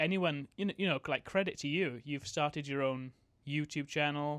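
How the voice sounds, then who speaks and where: A man speaks at a moderate pace with a fairly high pitch. The recording is very clean, with a silent background. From Wales. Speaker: YouTuber, podcast host. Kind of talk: casual conversation. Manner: hesitant, many fillers.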